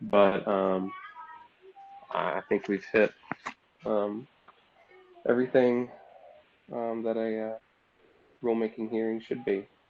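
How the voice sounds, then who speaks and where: With noticeable background noise behind him, a man talks at a fairly slow pace in a monotone, flat intonation, leaving long, frequent pauses. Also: medium pitch for a man. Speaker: government official. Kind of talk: public hearing, formal meeting. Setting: video call.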